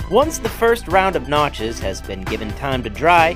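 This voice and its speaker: Moderate-paced speech with music in the background. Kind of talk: documentary-style process narration.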